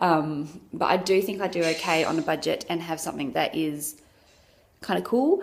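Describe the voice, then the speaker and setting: With an Australian accent, a woman talks at a moderate pace in a fairly low pitch marked by vocal fry. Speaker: vlogger. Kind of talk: casual chat.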